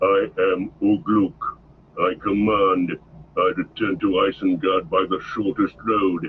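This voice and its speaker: A man uses a put-on character voice with fairly low pitch. He speaks at a fairly slow pace. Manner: commanding, harsh.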